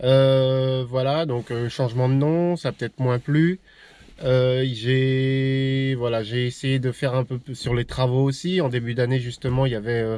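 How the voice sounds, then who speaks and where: A man's medium-pitched voice, dark and mellow in tone, with fairly even intonation. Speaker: YouTuber vlogging about camper van and old cars. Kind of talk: casual vlog talk to camera. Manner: fast, less articulated; hesitant with many fillers.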